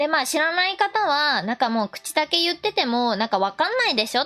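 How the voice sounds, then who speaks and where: With music in the background, a woman speaks fairly quickly in a cheerful tone, high-pitched and with very wide pitch swings. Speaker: VTuber shrine maiden streamer. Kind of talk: casual live-stream commentary explaining the text. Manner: chatty, cheerful, laughing.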